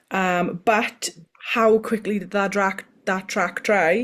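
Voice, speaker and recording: This woman keeps her intonation fairly even, her voice pitched in the middle range. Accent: Welsh. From Wales. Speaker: motorsport podcast co-host. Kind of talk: casual chat.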